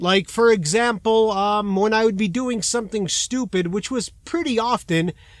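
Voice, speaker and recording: This is a man's voice. He speaks with a Chicago accent. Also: very clean recording, silent background. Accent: Chicago American English. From US Midwest, Chicago, Illinois. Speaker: trucker and comedy vlogger. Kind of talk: casual vlog confession. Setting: truck stop.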